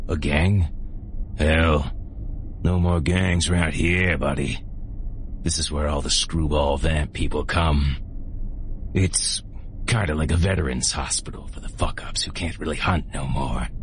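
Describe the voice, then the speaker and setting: Over loud background noise, a man does a put-on character voice that is raspy and very deep. He moves at a moderate pace with long, frequent pauses. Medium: read story. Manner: friendly, folksy, calls everyone buddy.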